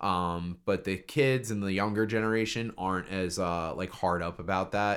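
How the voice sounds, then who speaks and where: On a very clean recording with a silent background, someone with an American accent speaks at a moderate pace with fairly even intonation and hardly any pauses. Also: man, very deep, low pitch for a man. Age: 30s. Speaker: guest. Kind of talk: casual chat.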